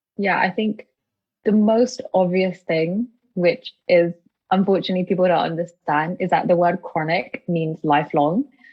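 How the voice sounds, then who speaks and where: Speaking with a British accent, a woman keeps a moderate pace. Her pitch is medium, with ordinary pitch variation. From UK. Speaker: chronic illness advocate, charity founder. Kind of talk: casual interview chat.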